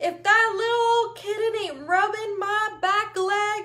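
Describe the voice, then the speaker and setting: A woman's squeaky put-on character voice, extremely high in pitch, with fairly even intonation at a fairly slow pace. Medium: read story. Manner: courtly, drawling.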